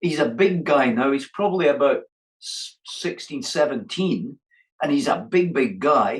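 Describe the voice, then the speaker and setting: Here a man speaks with a Scottish accent at a fairly slow pace. His pitch is high, and his intonation is lively. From Scotland. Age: 70s. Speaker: boxing coach. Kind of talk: interview answer.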